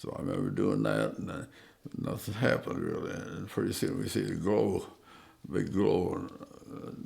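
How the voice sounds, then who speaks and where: Amid audible room echo, a man with a very deep, low pitch speaks at a moderate pace, using very wide pitch swings and long, frequent pauses. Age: 90s. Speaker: war veteran. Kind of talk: oral history interview. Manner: halting, many fillers and repeats.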